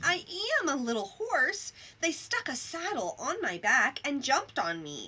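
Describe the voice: Putting on a character voice, a woman speaks high-pitched and raspy at a moderate pace.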